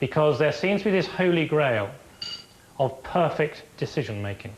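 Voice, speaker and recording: Here a man talks with a London accent and fairly high pitch. He keeps a moderate pace over noticeable background noise. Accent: posh Harrow. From England. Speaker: football referee. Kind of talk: documentary interview.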